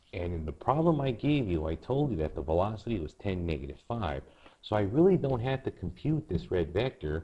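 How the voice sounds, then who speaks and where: The voice has a dark, mellow tone, somewhat breathy, moving through very wide pitch swings at a fairly quick pace. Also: man, fairly low pitch for a man, quiet background. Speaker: math teacher. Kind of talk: tutorial.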